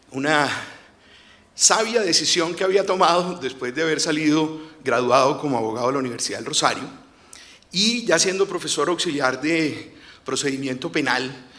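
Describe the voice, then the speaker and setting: At a moderate pace, a man with a fairly high pitch speaks amid audible room echo. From Colombia, Cartagena. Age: 50s. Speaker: lawyer and former investigator, storyteller. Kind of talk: storytelling on stage. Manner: halting, with filler hesitations.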